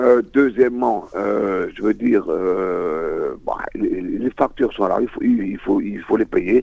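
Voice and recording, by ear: A man speaks at a fairly low pitch with vocal fry and a dark, mellow tone. His pace is fairly slow, with ordinary pitch variation.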